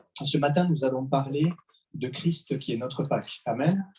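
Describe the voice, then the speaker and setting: A man with a fairly high pitch has a dark, mellow, somewhat breathy tone. He talks at a fairly slow pace with ordinary pitch variation. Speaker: preacher. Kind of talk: sermon. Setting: church service.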